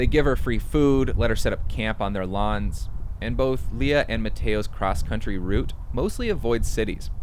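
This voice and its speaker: Audible room echo surrounds the voice. A man with an American accent speaks at a moderate pace. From small town in Wisconsin. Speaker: public radio reporter and podcast host. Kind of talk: narrated audio documentary.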